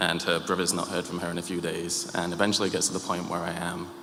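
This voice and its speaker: A man's very deep, low voice in a monotone, flat intonation at a fairly quick pace, with audible room echo and noticeable background noise. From UK. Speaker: church member. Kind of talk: testimony. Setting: church. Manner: halting, many fillers.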